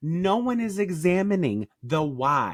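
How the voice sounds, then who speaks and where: Animated and full of very wide pitch swings, a man talks with an American accent. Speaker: podcast co-host. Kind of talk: casual chat.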